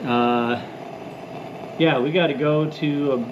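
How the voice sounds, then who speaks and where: Over noticeable background noise and audible room echo, a man talks in a fairly high pitch with ordinary pitch variation. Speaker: antiques and vintage lantern YouTuber. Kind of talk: casual vlog talk to camera. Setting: outdoors at night. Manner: loud, yelling over wind.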